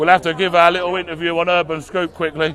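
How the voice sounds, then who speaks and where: Loud and fairly quick, a man talks in a high pitch with monotone, flat intonation. Crowd noise sounds in the background. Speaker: livestreamer at a protest. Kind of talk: live street commentary. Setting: outdoors at a protest.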